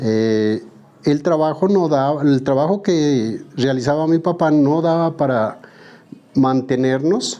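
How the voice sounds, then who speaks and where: Very slowly, a man talks. His pitch is fairly high. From southern Colombia, Pupiales, Nariño. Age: 60s. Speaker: woodworker. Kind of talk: interview testimony.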